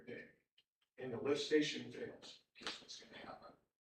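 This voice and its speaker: Amid audible room echo, a man talks at a moderate pace with lively intonation. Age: 60s. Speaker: resident speaking at public hearing. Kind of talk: public comment at township meeting.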